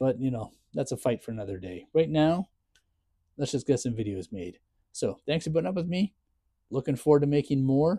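A man talks at a fairly quick pace but with long, frequent pauses, his pitch swinging very widely. His tone is dark and mellow, somewhat breathy, over a quiet background. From Ontario, Canada. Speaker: content creator; full-time caregiver. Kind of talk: casual vlog chat, personal update. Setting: home, self-filmed video. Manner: sarcastic, self-deprecating; venting, frustrated, emotional. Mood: grieving, frustrated, ranting. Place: garage. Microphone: lapel.

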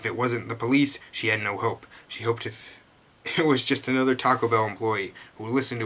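An unforced reading voice is heard. Its intonation stays fairly even.

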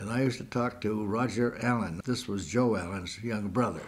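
Somewhat breathy, a man talks at a fairly slow pace. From US Northeast. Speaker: retired teacher. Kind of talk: oral history interview. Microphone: old recording.

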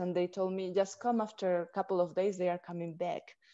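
A woman with a Peruvian accent and a dark, mellow tone speaks against a quiet background. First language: Spanish. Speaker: Odissi dancer. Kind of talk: interview answer. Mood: warm, smiling storytelling. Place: home room. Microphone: video call.

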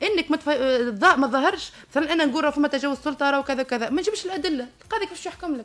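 The delivery moves at a very fast pace with lively intonation. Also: woman. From Tunisia. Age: 30s. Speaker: university lecturer with a doctorate. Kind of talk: radio interview. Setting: radio studio. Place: studio. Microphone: studio mic.

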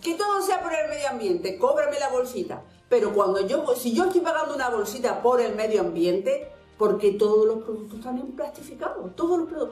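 With an Andalusian accent, a woman talks at a fairly quick pace in a high pitch, her pitch swinging very widely. Audible room echo and faint background music surround her. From Andalusia, Spain. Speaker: vlogger. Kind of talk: casual talk to camera. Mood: annoyed, complaining. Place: home room.

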